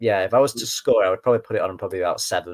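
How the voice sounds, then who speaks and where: Very fast speech from a man comes through dry and close, with no echo, on a very clean recording with a silent background. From northern England, Lancashire. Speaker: gaming podcast guest. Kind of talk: casual chat. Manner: halting, with many fillers.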